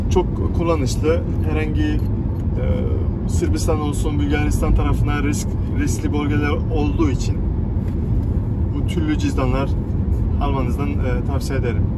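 Against loud background noise, a man talks at a moderate pace with long, frequent pauses. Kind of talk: casual vlog chat. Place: car. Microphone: phone near.

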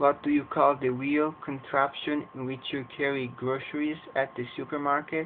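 Noticeable background noise sits behind a man who speaks fairly slowly, his pitch fairly high. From Edmonton, Alberta, Canada. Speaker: English teacher. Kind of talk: casual talk to camera.

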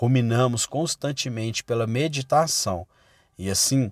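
An ordinary speaking voice from a man, medium in pitch, fairly slow, with ordinary pitch variation and a dry, close sound with no echo. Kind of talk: sermon read aloud as audiobook. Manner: solemn, earnest, exhortative; formal, measured.

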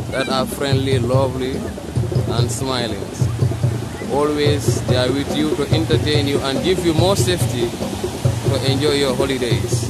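Music plays in the background as a man speaks at a moderate pace, leaving long, frequent pauses. The sound is dry with no echo, and his pitch varies in an ordinary way. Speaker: local guide presenting a band. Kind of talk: casual vlog commentary. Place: beach. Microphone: phone near.

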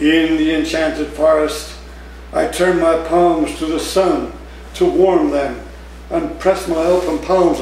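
A man speaks at a very slow pace. Light background noise and audible room echo are present. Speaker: poet. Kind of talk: poetry reading, performed poem with dark menacing narration. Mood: warm, smiling, expressive. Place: cafe. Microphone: camera far.

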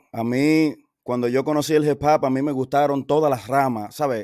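The pace is moderate and the background quiet. The sound is dry, with no echo. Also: man. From New Jersey and Dominican Republic. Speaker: DJ; guest. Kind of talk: interview. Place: home room. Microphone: studio mic.

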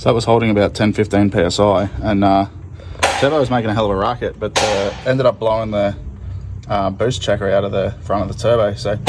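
A man rattles off his words extremely fast as clear background noise carries on. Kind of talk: tutorial commentary. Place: street. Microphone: phone near.

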